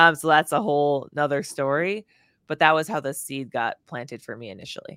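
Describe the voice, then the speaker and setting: A woman's fairly quick speech, very deep and low in pitch, bright and sharp in tone, with lively intonation and big swings in loudness, in a very clean recording with a silent background and a dry, close sound with no echo. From northern Wisconsin, US. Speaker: motivational speaker and former fighter pilot. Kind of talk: interview conversation.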